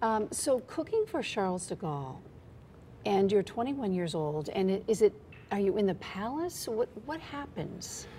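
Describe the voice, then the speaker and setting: A woman speaks at a fairly slow pace in a dark, mellow, somewhat breathy voice with very wide pitch swings, over light background noise. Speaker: TV news interviewer. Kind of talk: TV interview. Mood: relaxed, curious. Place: studio. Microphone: lapel.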